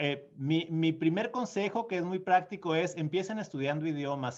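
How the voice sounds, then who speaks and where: The speaker keeps a moderate pace and uses lively intonation. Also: man. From Mexico, small town in Sonora. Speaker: diplomat. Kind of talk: conference Q&A answer. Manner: hesitant, many fillers and repeats.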